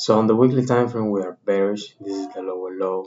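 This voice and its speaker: He speaks with a Spanish accent. His pitch is fairly low and his intonation fairly even. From Dominican Republic. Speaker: trading content creator. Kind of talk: tutorial. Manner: halting.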